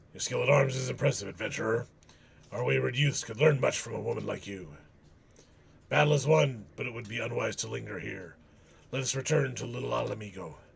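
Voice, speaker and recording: A man in a raspy put-on character voice at a medium pitch talks at a fairly quick pace, with big swings in loudness and long, frequent pauses. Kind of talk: dramatic fantasy dialogue. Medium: game stream. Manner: grave, measured, formal.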